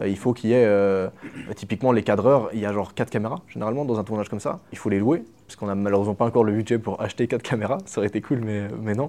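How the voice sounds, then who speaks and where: Over a quiet background, a man talks very fast in a dark, mellow tone at a fairly low pitch. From Switzerland, small village. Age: 20s. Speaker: YouTube content creator. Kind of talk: casual interview chat. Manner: animated, casual slang.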